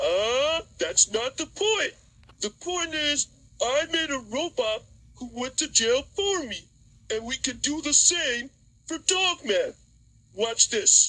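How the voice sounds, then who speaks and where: A cartoonish character voice, high-pitched and fairly slow, broken by long, frequent pauses. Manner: scheming, gloating.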